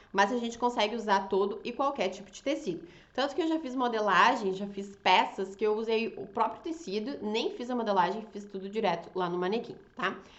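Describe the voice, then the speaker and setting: In an animated tone, a woman talks at a fairly quick pace and fairly high pitch, with ordinary pitch variation, big swings in loudness and audible room echo. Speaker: fashion designer and draping teacher. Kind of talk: online class. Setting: Instagram live.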